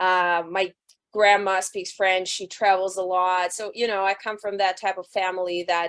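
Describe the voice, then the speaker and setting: A woman with a Russian accent talks at a moderate pace and medium pitch, her intonation monotone and flat. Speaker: rock band singer. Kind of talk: interview. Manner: loud.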